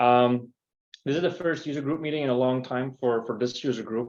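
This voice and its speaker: At a fairly quick pace, a man with a Belgian accent speaks at a medium pitch with fairly even intonation. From Belgium. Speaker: company CEO and user group host. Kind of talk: event welcome and presentation. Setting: in-person meetup streamed to a call. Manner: hesitant, many fillers.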